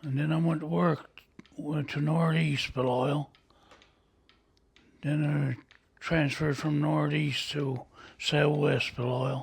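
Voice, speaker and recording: Very slow and broken by long, frequent pauses, a man with a Newfoundland accent speaks at a fairly high pitch with fairly even intonation over noticeable background noise. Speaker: lighthouse keeper. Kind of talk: interview answer. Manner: casual, storytelling.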